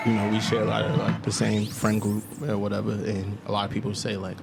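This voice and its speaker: Speech at a moderate pace with a Maryland accent, over background music. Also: man. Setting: podcast.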